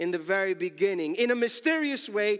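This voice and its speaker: Lively intonation with an American accent. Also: man. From New York City. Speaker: pastor. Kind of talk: sermon. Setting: church.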